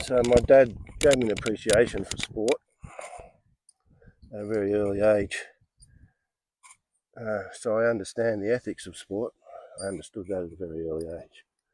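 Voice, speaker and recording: In an Australian accent, a man speaks at a fairly low pitch with ordinary pitch variation. His loudness swings widely, and his pauses are long and frequent. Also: moderate pace, dry, close sound with no echo. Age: 60s. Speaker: golf vlogger. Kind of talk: casual monologue. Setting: outdoors. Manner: hesitant with fillers.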